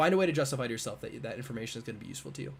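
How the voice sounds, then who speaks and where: Talking at a very fast pace, a man with an American accent and medium pitch sounds somewhat breathy, with ordinary pitch variation. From US Northeast (Buffalo, New York). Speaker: physics PhD student, YouTuber. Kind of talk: live stream Q&A. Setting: livestream with camera and mic. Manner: casual, filler-heavy.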